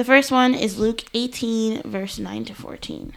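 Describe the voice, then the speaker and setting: A woman talks with lively intonation at a fairly high pitch. She has an ordinary speaking voice. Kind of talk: casual chat with Bible teaching.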